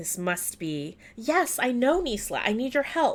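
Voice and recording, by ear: Using a put-on character voice, a woman speaks high and hoarse. She goes at a fairly slow pace, with very wide pitch swings.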